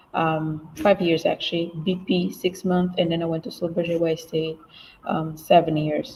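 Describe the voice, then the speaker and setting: A woman's somewhat breathy voice, fairly low in pitch, monotone and flat, at a moderate pace. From Namibia. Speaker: English teacher and career manager. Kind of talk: online panel discussion. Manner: halting, many fillers.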